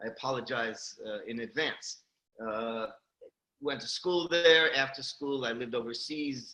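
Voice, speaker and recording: A man's medium pitch in a New York accent, fairly even intonation at a moderate pace. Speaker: company CEO. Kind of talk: interview. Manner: hesitant, many fillers.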